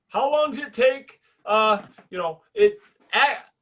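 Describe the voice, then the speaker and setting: Raising and projecting his voice, a man speaks at an extremely high pitch and a fairly slow pace, with lively intonation and a bright, sharp tone. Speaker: podcast co-host, drilling safety professional. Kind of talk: casual chat. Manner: loud.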